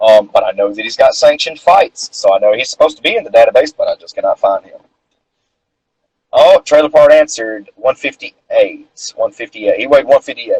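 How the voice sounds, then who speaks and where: Speaking with a Southern accent at a fairly quick pace, a man's voice shows big swings in loudness in a dry, close sound with no echo. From North Carolina. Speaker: amateur boxer and interviewer. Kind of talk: casual interview chat. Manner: rambling, filler-heavy.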